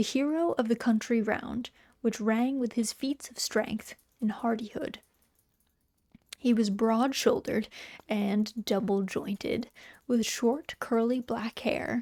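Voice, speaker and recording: A soft-spoken woman with a fairly high pitch and a dark, mellow tone speaks at a very slow pace with fairly even intonation and long, frequent pauses, in a dry, close sound with no echo. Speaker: VTuber streamer and storyteller. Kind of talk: literary story narration, reading aloud. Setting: cozy home stream, typing heard in background.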